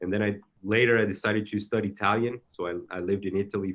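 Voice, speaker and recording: With a Brazilian accent, a man speaks at a moderate pace in a fairly low pitch, with ordinary pitch variation. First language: Portuguese. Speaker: soccer technical director. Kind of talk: interview. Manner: halting, many repetitions.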